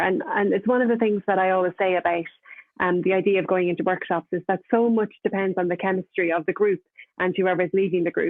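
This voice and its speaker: A woman with an Irish accent speaks at a very fast pace and medium pitch. Her loudness is very even and her intonation fairly even. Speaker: novelist. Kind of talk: panel discussion. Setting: online video event.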